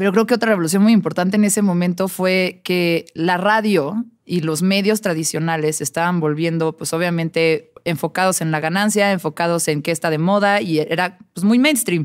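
Against a quiet background, a woman talks at a moderate pace with hardly any pauses, at a fairly low pitch with ordinary pitch variation. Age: 30s. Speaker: music journalist and radio host; podcast guest, music journalist. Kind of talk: casual chat. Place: studio. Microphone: studio mic.

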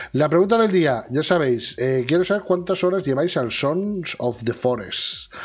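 A man with lively intonation. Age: 40s. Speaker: video game news host. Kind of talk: casual chat. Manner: animated. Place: home room.

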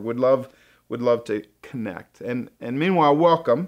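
A man talks at a moderate pace while the background stays quiet. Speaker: church pastor hosting. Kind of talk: casual welcome talk to viewers. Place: studio.

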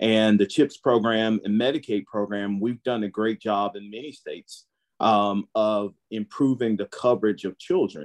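A man with a Southern US accent, fairly low in pitch, at a moderate pace with hardly any pauses, fairly even intonation and big swings in loudness, against a quiet background. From Holly Springs, Mississippi. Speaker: physician. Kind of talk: panel discussion. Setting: video call. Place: home room. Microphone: video call.

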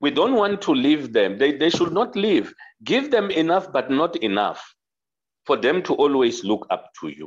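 Male voice with vocal fry, fairly high in pitch, moderate in pace, with very wide pitch swings. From South Africa. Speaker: audience participant. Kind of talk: panel discussion. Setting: video call.

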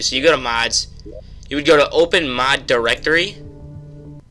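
Man speaking at a moderate pace over music in the background. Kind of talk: gaming tutorial voiceover. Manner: casual, conversational.

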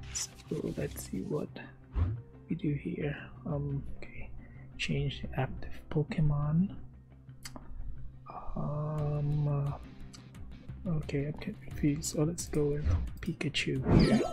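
This woman talks very slowly, stopping often for long pauses while music plays behind her. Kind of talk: casual gaming commentary to camera. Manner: soft-spoken, whispered.

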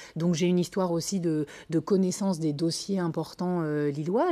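With a fairly low pitch, the woman's voice has a dark, mellow tone. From northern France, Lille; France. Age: 40s. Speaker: politician, municipal candidate; candidate. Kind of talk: TV interview. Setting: TV studio. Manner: hesitant, many fillers. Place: studio. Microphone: lapel.

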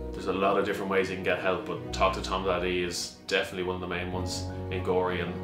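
Over clear background music, a man with a very deep, low voice talks at a very fast pace. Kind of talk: appeal to camera. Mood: earnest, encouraging. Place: office.

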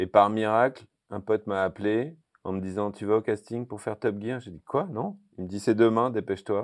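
At a moderate pace and with ordinary pitch variation, a man speaks in a fairly low voice over a quiet background. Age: 50s. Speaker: TV car show presenter; car show host. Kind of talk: casual interview. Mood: relaxed, storytelling. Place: hall. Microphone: lapel.

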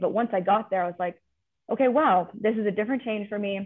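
Speaking at a very fast pace with an American accent, a woman talks over a quiet background. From California. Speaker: athletics administrative associate; panelist. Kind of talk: panel discussion. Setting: video call. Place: office. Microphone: video call.

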